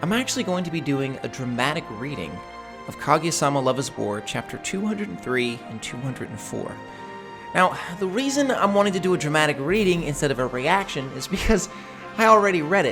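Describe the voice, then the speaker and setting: Music plays in the background while a man talks at a fairly quick pace. His fairly high pitch moves in very wide swings. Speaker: manga dramatic reader. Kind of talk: casual talk to camera.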